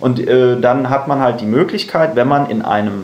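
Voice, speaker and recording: Here a man is speaking. The recording carries audible room echo and noticeable background noise. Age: 20s. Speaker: university student and party activist. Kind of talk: podcast interview. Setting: in person at a table. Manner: casual, many fillers.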